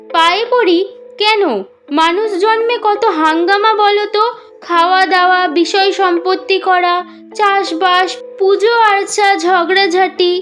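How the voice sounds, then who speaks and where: Clear music plays behind a woman using a put-on character voice. Her nasal delivery moves at a very slow pace. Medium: read story. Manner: teasing and threatening.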